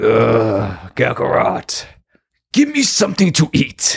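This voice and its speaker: A man puts on a raspy character voice. He speaks at a fairly slow pace. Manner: lazy, whiny.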